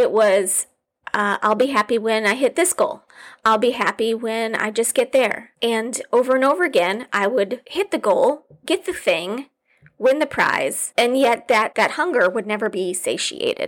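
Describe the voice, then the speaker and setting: A woman with a high pitch and lively intonation at a fairly slow pace, on a very clean recording with a silent background. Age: 40s. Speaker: podcast host and business coach. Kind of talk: solo podcast monologue. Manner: casual with frequent fillers.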